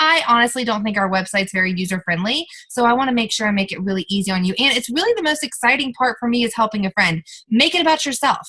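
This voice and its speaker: Talking at a very fast pace, a woman with a fairly high voice has a bright, sharp tone and lively intonation. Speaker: network marketing team leader. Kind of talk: team training call. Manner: animated.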